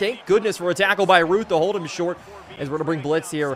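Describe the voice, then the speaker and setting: A man talks very fast with ordinary pitch variation while noticeable background noise carries on. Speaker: video game streamer. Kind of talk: live gameplay commentary. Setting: live stream. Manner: animated.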